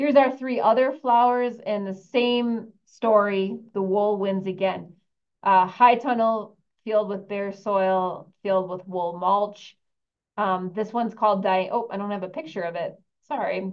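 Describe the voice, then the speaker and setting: In a plain, everyday voice, the speaker goes at a fairly slow pace with ordinary pitch variation. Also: woman, medium pitch for a woman. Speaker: university researcher presenting a study. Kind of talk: webinar presentation.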